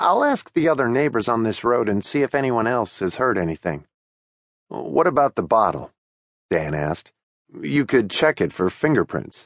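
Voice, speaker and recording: A calm, tearful tone with vocal fry, very wide pitch swings and a moderate pace, in a dry, close sound with no echo against a quiet background. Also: man, medium pitch for a man. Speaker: audiobook narrator. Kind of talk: dramatic audiobook narration with character voices. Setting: studio.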